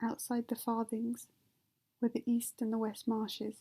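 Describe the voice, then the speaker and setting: A woman with a British accent speaks at a fairly slow pace in a fairly high, flat monotone. The sound is dry and close, with no echo. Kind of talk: ASMR sleep reading of a novel. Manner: soft-spoken.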